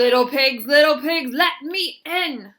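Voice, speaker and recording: Putting on a growling character voice, a woman talks at a fairly slow pace with a high pitch. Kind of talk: bedtime story. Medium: read story. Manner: menacing.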